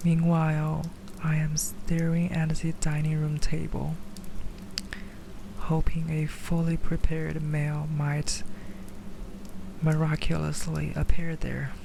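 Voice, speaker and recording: Someone whispers at a very slow pace with long, frequent pauses. Noticeable background noise can be heard. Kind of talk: ASMR story reading. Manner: whispered.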